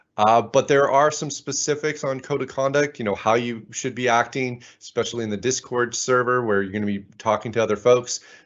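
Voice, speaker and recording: A man talks at a fairly quick pace with a Canadian accent. His is a normal speaking voice. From Canada, Ottawa. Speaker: conference speaker. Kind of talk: conference talk.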